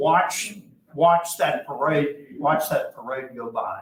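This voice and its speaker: This man speaks with an Arkansas accent. His pitch is fairly high and his pace fairly slow. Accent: US Southern (Arkansas). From Arkansas (Hot Springs). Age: 70s. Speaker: archivist and local historian. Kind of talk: public history talk with audience Q&A. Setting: library room with live audience. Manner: conversational, with frequent fillers.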